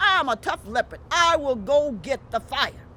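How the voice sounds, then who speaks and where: There is noticeable noise in the background. Through it, a woman talks. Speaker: storyteller. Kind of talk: family-friendly folk tale storytelling.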